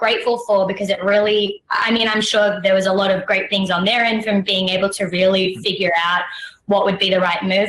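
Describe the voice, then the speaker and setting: A woman with an Australian accent at a fairly quick pace, amid noticeable background noise. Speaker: actress. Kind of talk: interview.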